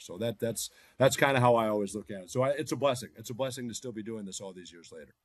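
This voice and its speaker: A man with an American accent, medium-pitched, in a dry, close recording with no echo. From US, Boston, Massachusetts. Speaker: NBA team broadcaster. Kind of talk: podcast interview.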